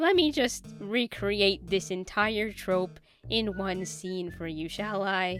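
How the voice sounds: Just a natural reading voice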